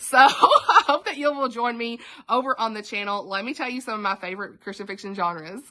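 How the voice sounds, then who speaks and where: A woman with a strong Southern US accent, fairly high pitch, ordinary pitch variation and big swings in loudness, talking at a fairly quick pace over noticeable background noise. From US South, Tennessee. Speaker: book YouTuber. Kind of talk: casual video introduction. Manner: animated.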